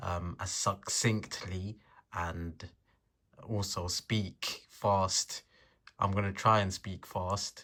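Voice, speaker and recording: A man's bright, sharp tone, monotone and flat, at a very slow pace with long, frequent pauses. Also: very clean recording, silent background. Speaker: self-improvement vlogger. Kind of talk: casual vlog monologue. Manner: halting, filler words.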